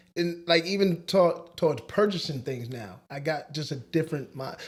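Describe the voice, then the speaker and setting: A man with an ordinary speaking voice, fairly high-pitched, at a moderate pace with ordinary pitch variation. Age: 40s. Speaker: podcast co-host. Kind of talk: casual chat.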